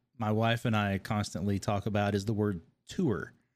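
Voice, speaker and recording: In a very clean recording with a silent background, a man with a slight Kentucky accent speaks at a fairly low pitch. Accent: slight Kentucky twang. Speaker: podcast host and game designer. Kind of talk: casual interview chat.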